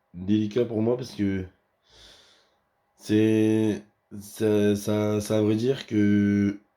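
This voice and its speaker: Speaking in a dark, mellow tone at a fairly low pitch, a man talks very slowly with long, frequent pauses and monotone, flat intonation on a very clean recording with a silent background. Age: 20s. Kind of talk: casual talk to camera. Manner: hesitant, halting.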